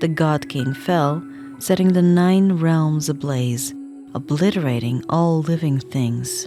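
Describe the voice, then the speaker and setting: Music plays in the background as a soft-spoken voice talks at a very slow pace. The loudness stays very even, with ordinary pitch variation. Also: woman, very deep, low pitch for a woman. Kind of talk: soft ASMR book reading.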